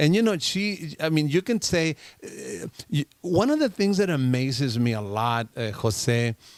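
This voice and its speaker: With very wide pitch swings, a man with a fairly high voice talks at a fairly slow pace in a dry, close sound with no echo. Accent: Spanish. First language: Spanish. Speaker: radio show host. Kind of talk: casual interview chat. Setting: studio.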